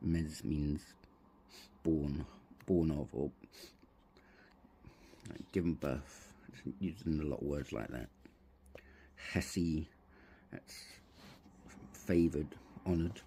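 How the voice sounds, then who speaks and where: A man with a very deep, low voice and a dark, mellow, somewhat breathy tone, mumbling quietly with ordinary pitch variation. He talks very slowly with long, frequent pauses, and his loudness swings widely. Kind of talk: casual hobby tutorial to camera.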